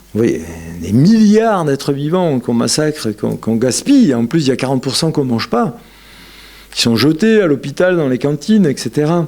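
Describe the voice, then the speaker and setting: Swinging very widely in pitch, a man with a fairly high voice speaks at a moderate pace. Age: 60s. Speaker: yoga lecturer. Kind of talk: lecture. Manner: animated.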